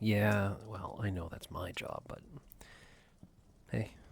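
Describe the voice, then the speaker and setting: The voice is somewhat breathy, with fairly even intonation. It goes at a very slow pace. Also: man. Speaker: ASMR roleplay performer. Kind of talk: ASMR boyfriend roleplay. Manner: soft-spoken, comforting.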